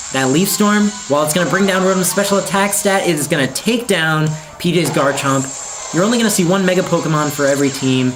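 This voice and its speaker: A man's high-pitched voice at a very fast pace, with ordinary pitch variation, very even loudness, and music in the background. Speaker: esports commentator. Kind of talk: esports game commentary.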